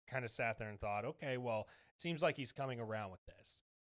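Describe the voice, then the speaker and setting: A man talks in an ordinary speaking voice at a medium pitch with ordinary pitch variation. The sound is dry and close, with no echo. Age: 20s. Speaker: sports podcast host. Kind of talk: casual chat.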